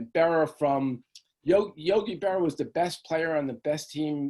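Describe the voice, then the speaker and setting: A man's voice, dark and mellow in tone, moves at a moderate pace with ordinary pitch variation. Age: 60s. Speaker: author. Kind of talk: interview. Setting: video call. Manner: halting.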